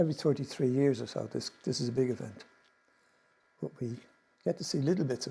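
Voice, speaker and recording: Medium-pitched man with vocal fry and a dark, mellow tone, ordinary pitch variation, a very fast pace and long, frequent pauses. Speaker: presenter on Irish mythology. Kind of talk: slide presentation talk.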